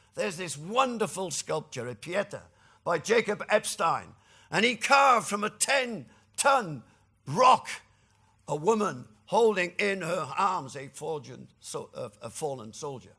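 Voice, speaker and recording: Bright and sharp in tone, a man's high voice moves at a moderate pace with very wide pitch swings and big swings in loudness, in a very clean recording with a silent background. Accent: Welsh. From Wales (Cardiff). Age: 60s. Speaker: trade union leader. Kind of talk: lecture.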